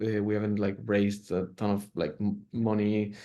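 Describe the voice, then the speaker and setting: Against a quiet background, a man with a Spanish accent talks at a moderate pace in a medium-pitched voice with a dark, mellow tone. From Mexico, Monterrey. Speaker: clothing brand founder. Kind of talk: interview. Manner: halting, many fillers and repeats.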